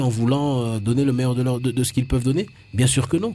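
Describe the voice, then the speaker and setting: A man with a medium-pitched voice sounds somewhat breathy. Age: 40s. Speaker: presidential candidate. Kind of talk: radio interview. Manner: halting, frequent repetitions.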